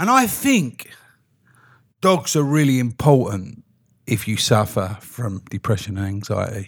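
On a very clean recording with a silent background, a somewhat breathy man of medium pitch speaks at a fairly slow pace with lively intonation and long, frequent pauses. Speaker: podcast host. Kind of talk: casual chat.

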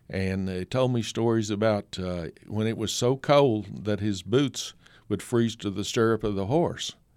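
Speaking fairly slowly with an Appalachian accent, a man uses a fairly low pitch and ordinary pitch variation in a very clean recording with a silent background. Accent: Appalachian Southern US. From East Tennessee (Kingsport). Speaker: photographer and author. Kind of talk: radio interview.

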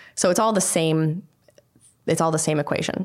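A woman speaks in an ordinary speaking voice with fairly low pitch. Her pace is fairly quick. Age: 30s. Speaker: HR and talent director. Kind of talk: casual interview. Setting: studio.

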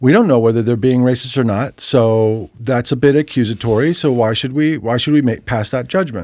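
A man with an American accent speaks at a fairly quick pace in an ordinary speaking voice, medium in pitch, with ordinary pitch variation and hardly any pauses. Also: very clean recording, silent background. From US Northeast, New Jersey. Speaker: music producer and author. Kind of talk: casual chat.

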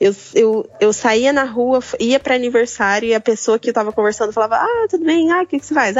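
High-pitched woman's voice at a moderate pace. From Brazil, interior of São Paulo state. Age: 20s. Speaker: photographer and design student. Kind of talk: casual interview chat.

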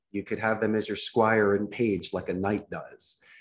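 Here a man speaks with a Philadelphia accent. His pitch is fairly low. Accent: Philadelphia American English. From US Northeast, Philadelphia. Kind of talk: podcast interview. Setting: remote call.

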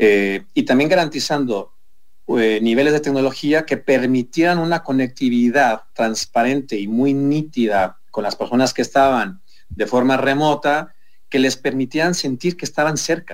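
In an ordinary speaking voice, a man talks fairly slowly at a medium pitch with ordinary pitch variation. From Mexico City. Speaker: hotel group executive. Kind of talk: radio interview. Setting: video call.

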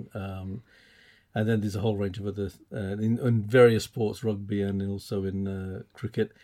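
A man speaks at a moderate pace with monotone, flat intonation and a dark, mellow tone. The recording is very clean, with a silent background. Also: fairly low pitch for a man. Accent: English. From England. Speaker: podcast host. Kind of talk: casual chat.

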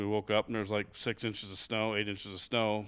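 On a very clean recording with a silent background, a man with a Midwestern US accent speaks at a fairly quick pace in a fairly low pitch. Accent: general Midwestern US. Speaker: hunting guest. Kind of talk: casual chat. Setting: studio.

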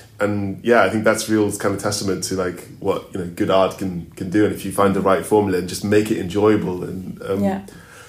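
Against audible room echo, a man talks at a fairly quick pace with hardly any pauses, his pitch fairly low and his intonation monotone and flat. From Zambia. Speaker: opera singer. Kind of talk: interview. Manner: halting.

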